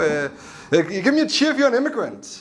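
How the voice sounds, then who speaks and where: A man talks at a fairly quick pace. He has a Danish accent. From Denmark. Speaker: stand-up comedian. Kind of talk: stand-up. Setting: stage with audience.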